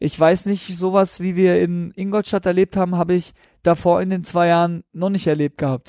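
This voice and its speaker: High-pitched man's voice, dark and mellow in tone, with monotone, flat intonation at a moderate pace, a dry, close sound with no echo and a very clean recording over a silent background. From southern Baden, Germany. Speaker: professional footballer. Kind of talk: casual interview.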